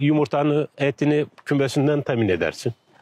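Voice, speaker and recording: Dry and close with no echo, this is an ordinary speaking voice from a man. He speaks at a moderate pace with a fairly high pitch. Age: 60s. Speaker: retired villager. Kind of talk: casual interview chat.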